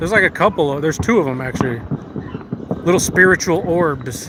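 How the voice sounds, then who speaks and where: Over noticeable background noise, a man with an American accent speaks in a raised, projected voice. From US, Las Vegas. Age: 30s. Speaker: live streamer. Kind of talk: casual chat. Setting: outdoors. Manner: animated.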